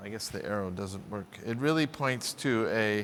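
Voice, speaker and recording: Speaking at a moderate pace, the man has an American accent. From US South, Louisville, Kentucky. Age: 50s. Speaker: scientist. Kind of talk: keynote lecture. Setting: stage with audience.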